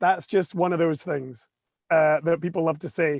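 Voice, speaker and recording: Moderate-paced speech from a man, dry and close with no echo. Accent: Scottish. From Scotland. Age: 40s. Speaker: photographer. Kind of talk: casual chat.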